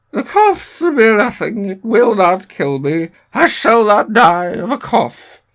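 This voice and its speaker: A put-on character voice in a fairly high pitch, fairly slow with hardly any pauses, on a very clean recording with a silent background. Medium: read story.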